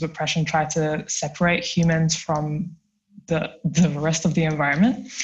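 Somewhat breathy and very deep, low in pitch, a woman with a London accent talks at a moderate pace. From South London. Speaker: research assistant and climate activist. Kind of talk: casual chat.

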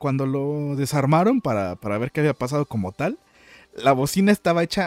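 A plain, everyday voice from a man, fairly high in pitch, with lively intonation at a moderate pace in a dry, close sound with no echo. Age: 20s. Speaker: podcast host and streamer. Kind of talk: casual chat. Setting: live stream.

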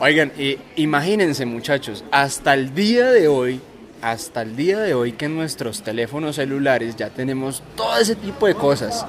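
Background noise is noticeable as a man talks at a moderate pace. His voice is fairly high, with lively intonation. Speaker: podcast host. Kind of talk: casual chat. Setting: outdoors, drinking beer with friends.

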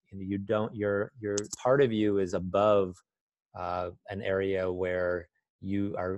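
A man with a fairly low pitch and fairly even intonation, a dry, close sound with no echo, against a quiet background. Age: 50s. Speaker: life coach. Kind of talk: casual interview. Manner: hesitant, many fillers.

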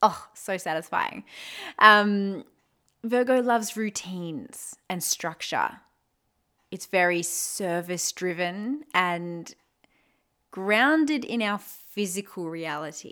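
A woman with an Australian accent, very slow with long, frequent pauses, bright and sharp yet warm in tone, her intonation lively. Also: medium pitch for a woman, big swings in loudness, very clean recording, silent background. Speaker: podcast host, spirituality and astrology. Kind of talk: solo podcast talk on astrology. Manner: casual, warm, with laughter.

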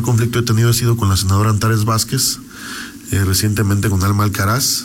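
A man at a fairly quick pace with ordinary pitch variation, amid audible room echo and noticeable background noise. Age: 30s. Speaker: politician. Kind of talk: radio interview.

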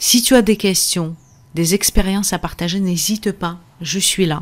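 Speaking at a very slow pace, a woman holds a medium pitch with fairly even intonation. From Russia. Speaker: podcast host and energy therapist. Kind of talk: casual teaching monologue. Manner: hesitant, frequent fillers.

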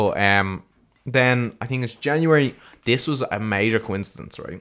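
The voice has an Irish accent. Its tone is animated. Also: man. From Ireland. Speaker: podcast co-host. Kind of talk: casual chat.

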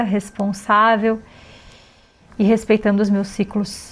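A woman's fairly high voice at a fairly slow pace. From Brazil, Florianópolis. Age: 40s. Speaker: yoga teacher. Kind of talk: personal monologue.

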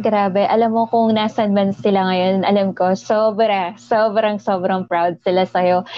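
At a fairly slow pace and with hardly any pauses, a woman with an unremarkable speaking voice talks at medium pitch, her intonation fairly even and her loudness very even. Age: 30s. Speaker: podcast host. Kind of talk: casual interview.

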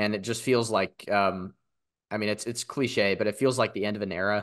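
A man's medium-pitched voice at a very fast pace, fairly even in intonation, over a quiet background. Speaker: podcast host. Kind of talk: casual football podcast chat.

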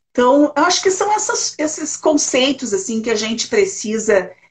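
Somewhat breathy speech at a fairly slow pace, with ordinary pitch variation. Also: woman. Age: 60s. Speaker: retired social worker, elder-rights council president. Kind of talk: interview conversation.

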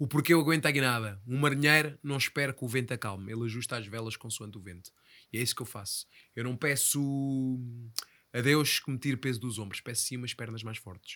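On a very clean recording with a silent background, a man with a European Portuguese accent speaks at a fairly quick pace, his bright, sharp tone set at a medium pitch with ordinary pitch variation and big swings in loudness. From Portugal, Ribatejo. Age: 30s. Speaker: podcast host. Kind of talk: casual interview chat.

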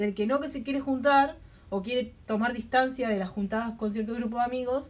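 This woman has a plain, everyday voice, pitched fairly high. She moves at a moderate pace with ordinary pitch variation. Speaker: podcast co-host. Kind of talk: casual chat.

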